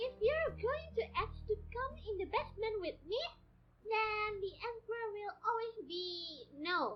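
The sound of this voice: A female-sounding voice, put on as a character, at an extremely high pitch. The pace is fairly slow.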